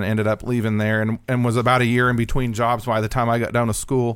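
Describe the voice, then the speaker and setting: Here a man with an American accent speaks at a fairly quick pace in an ordinary speaking voice, his pitch medium. The recording is very clean, with a silent background. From southern Indiana, Austin. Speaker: newspaper journalist. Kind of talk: interview conversation. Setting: studio.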